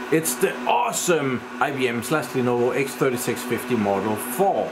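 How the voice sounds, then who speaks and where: Behind the man's talking, background noise is clearly noticeable. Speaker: tech hobbyist vlogger. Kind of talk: casual tech vlog chat. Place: home room. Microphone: phone near.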